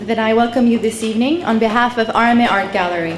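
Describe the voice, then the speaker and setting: Delivered at a fairly quick pace, the speech has audible room echo and light background noise. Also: woman. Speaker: event host. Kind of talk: formal welcome speech. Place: hall.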